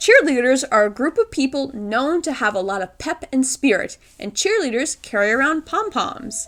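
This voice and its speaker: At a moderate pace, a woman speaks at a high pitch with very wide pitch swings over noticeable background noise. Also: hardly any pauses. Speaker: gaming video creator. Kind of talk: scripted narration. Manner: can't roll R's.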